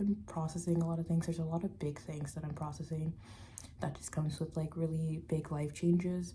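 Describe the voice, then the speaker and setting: A woman's voice sits fairly low, with a dark, mellow quality and a somewhat breathy edge. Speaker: vlogger and tarot reader. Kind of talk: casual vlog. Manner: casual with many fillers.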